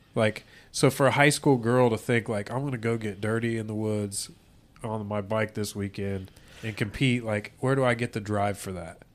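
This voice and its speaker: Over a very clean recording with a silent background, a man with an American accent speaks at a moderate pace and a fairly low pitch. His is an ordinary speaking voice with fairly even intonation. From US Midwest. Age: 30s. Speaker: podcast co-host. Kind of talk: casual chat.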